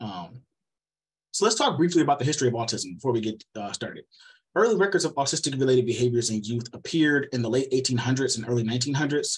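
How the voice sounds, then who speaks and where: A man with a somewhat breathy, medium-pitched voice talks at a very fast pace with lively intonation. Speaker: researcher giving seminar talk. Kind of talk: lecture.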